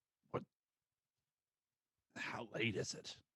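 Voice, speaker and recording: Recorded dry and close with no echo, the put-on character voice sounds raspy. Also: man. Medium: actual play.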